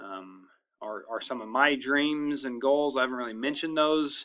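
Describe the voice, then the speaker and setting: A man talks at a moderate pace with a fairly high pitch and a bright, sharp tone. The background is quiet. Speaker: school principal. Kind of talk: narrated slideshow presentation to staff. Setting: screen recording. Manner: casual, hesitant with fillers.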